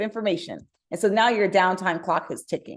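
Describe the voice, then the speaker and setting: Fairly quick pace from a woman with a medium-pitched voice. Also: quiet background. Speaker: startup co-founder and CEO. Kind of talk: webinar presentation. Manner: fast.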